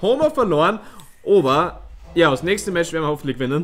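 A man talks at a very fast pace. His pitch is high, with ordinary variation. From Styria, Austria. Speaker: let's player. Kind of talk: live gameplay commentary. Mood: relaxed, playful.

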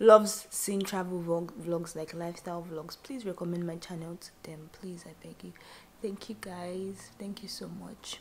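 Against light background noise, a woman talks at a moderate pace with a fairly low pitch and fairly even intonation. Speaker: vlogger. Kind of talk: casual vlog chat. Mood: relaxed, grateful. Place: home room. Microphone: phone near.

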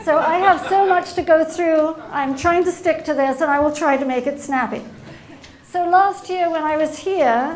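Against light background noise, a woman speaks at a moderate pace with ordinary pitch variation. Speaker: invited lecturer. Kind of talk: lecture. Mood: light humorous opening. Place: hall. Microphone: podium.

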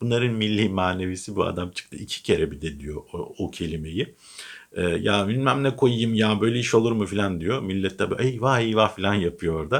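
Here a man talks in an animated tone at a moderate pace. His pitch is fairly low, with ordinary pitch variation. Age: 40s. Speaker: political commentator. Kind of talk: casual political commentary monologue.

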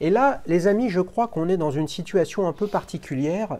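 A man at a fairly slow pace with very wide pitch swings. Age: 50s. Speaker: watch channel host. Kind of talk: casual interview; scripted narration. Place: home room. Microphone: lapel.

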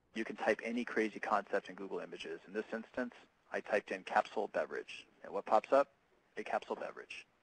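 A man talks at a very fast pace, with big swings in loudness. The sound is dry, with no echo. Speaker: presenter. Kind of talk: webinar presentation. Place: workshop.

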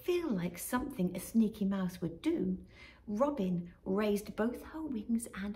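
Lively intonation in plain reading aloud

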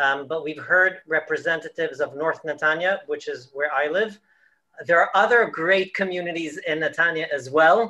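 A man's high, bright, sharp voice at a moderate pace, with ordinary pitch variation and a quiet background. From Israel-born, raised in the United States and London. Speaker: rabbi or community leader. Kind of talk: video call panel talk. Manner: halting, with fillers and restarts. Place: home room. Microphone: video call.

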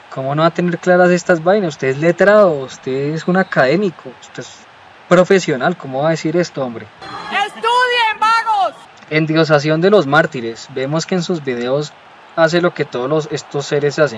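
Moderately paced male speech, fairly high in pitch with ordinary pitch variation, amid noticeable background noise. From Colombia. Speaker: YouTuber. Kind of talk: commentary video monologue. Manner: animated.

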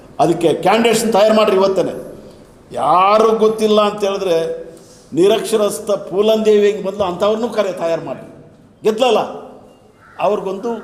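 This man's voice is high-pitched with fairly even intonation, heard over noticeable background noise and audible room echo. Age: 70s. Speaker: Dalit movement leader. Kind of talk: speech at a meeting. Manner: halting, many pauses.

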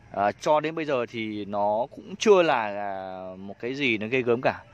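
Heard dry with no echo, a man speaks with lively intonation. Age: 30s. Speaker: bonsai grower and video host. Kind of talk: casual vlog talk to camera. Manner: hesitant with many fillers. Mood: calm, confident, reflective. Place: garden. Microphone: phone near.

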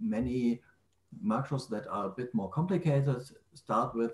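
Room echo is audible as a man talks at a moderate pace, his pitch varying in an ordinary way. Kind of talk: technical explanation in a group call. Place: home room. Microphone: video call.

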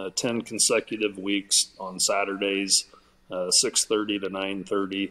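Man with a bright, sharp tone, fairly low pitch, monotone, flat intonation, and a fairly slow pace. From southwest Iowa. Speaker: artist and event organizer; guest. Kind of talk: casual interview chat. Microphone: video call.

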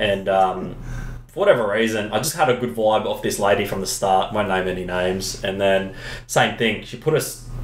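Over light background noise and audible room echo, a man speaks at a moderate pace with a fairly low pitch. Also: ordinary pitch variation. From Australia. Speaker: epoxy flooring business owner. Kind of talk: casual chat. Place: office.

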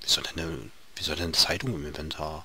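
Background noise is noticeable throughout. A man's voice comes through it. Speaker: gaming video creator. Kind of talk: let's play commentary. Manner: halting, repeats words.

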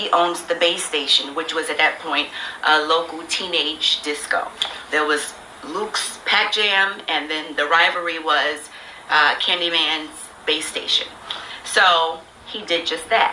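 A woman's fairly low-pitched voice at a fairly slow pace with fairly even intonation over light background noise. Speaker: recording artist. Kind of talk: casual storytelling. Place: office.

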